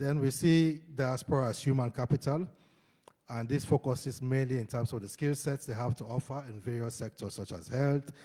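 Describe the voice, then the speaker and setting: A man's medium-pitched, dark and mellow voice, somewhat breathy, with fairly even intonation at a moderate pace. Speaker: conference panelist. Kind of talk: conference presentation.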